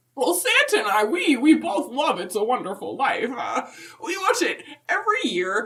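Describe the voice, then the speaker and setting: It's a put-on character voice with very wide pitch swings. The delivery moves at a moderate pace. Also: woman, high pitch for a woman. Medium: comedy sketch. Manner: rambling, halting, folksy.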